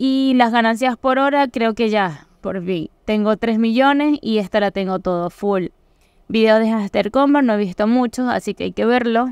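On a very clean recording with a silent background, a woman with a Venezuelan accent speaks at a fairly high pitch and fairly slow pace. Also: ordinary pitch variation, dry, close sound with no echo. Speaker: crypto YouTuber. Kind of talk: tutorial.

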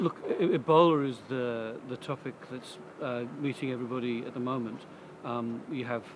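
A man's voice comes through dry with no echo, over noticeable background noise. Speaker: interviewee. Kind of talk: interview answer. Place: street.

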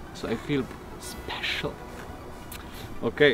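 A man talking at a very slow pace, dry with no echo, with faint music in the background. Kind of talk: casual vlog chat. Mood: excited, cheerful. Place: open country.

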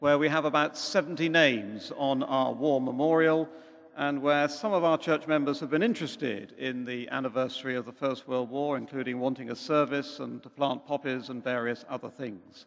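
A man at a moderate pace, with ordinary pitch variation and hardly any pauses. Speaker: speaker. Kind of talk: formal introduction to audience. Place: church.

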